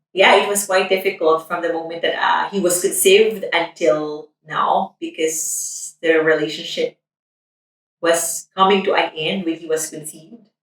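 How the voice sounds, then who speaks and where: A woman with a Filipino accent talks at a moderate pace with a fairly low pitch. Her loudness swings widely. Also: fairly even intonation. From Philippines. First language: Tagalog. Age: 30s. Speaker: nurse. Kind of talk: documentary interview.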